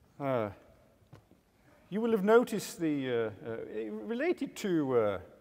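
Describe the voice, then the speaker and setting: A man at a fairly slow pace, his pitch swinging very widely. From England. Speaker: agriculture industry speaker. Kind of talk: conference workshop talk. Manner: hesitant, many fillers.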